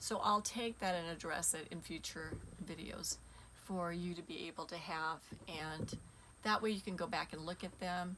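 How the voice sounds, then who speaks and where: Using vocal fry, a woman speaks at a moderate pace in a fairly low, bright, sharp voice with fairly even intonation. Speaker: spiritual teacher. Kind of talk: casual monologue to viewers.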